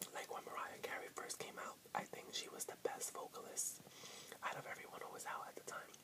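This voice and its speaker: A man whispers. His pace is moderate. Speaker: vlogger. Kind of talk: casual vlog chat. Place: home room. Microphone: webcam.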